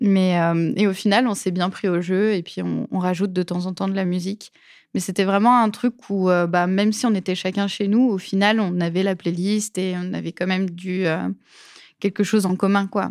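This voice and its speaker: At a moderate pace, a woman talks at a medium pitch with monotone, flat intonation on a very clean recording with a silent background. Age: 20s. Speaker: UX designer. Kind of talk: interview. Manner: hesitant with fillers.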